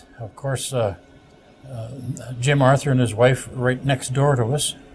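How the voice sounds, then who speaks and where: Over music in the background, a man with a Canadian accent talks fairly slowly at a medium pitch with fairly even intonation. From Ontario, Canada (Sault Ste. Marie). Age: 70s. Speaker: retired broadcaster. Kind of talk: interview. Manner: halting.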